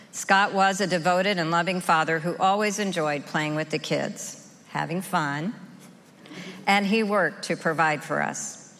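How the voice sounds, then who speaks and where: Her pitch is fairly low and her intonation fairly even as this woman talks at a moderate pace. Noticeable background noise is present. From rural Oklahoma, US. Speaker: recovery group member sharing her story. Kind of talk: testimony.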